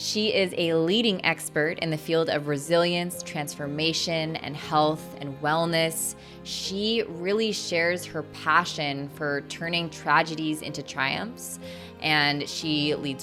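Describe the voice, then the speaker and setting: A woman speaks fairly slowly in a very deep, low voice, with hardly any pauses. Music plays in the background. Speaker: podcast host. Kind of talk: podcast intro.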